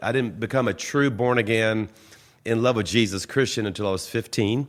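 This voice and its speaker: With a Southern US accent, a man talks at a fairly quick pace. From US South, Louisiana (Baton Rouge). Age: 60s. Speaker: pastor. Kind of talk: casual interview.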